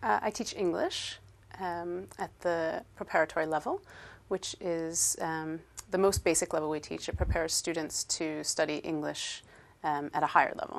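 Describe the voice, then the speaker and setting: A woman's fairly low-pitched voice at a moderate pace, with fairly even intonation over a quiet background. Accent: Inland Northern American. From upstate New York, US. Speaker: English teacher. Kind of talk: interview. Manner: hesitant, many fillers.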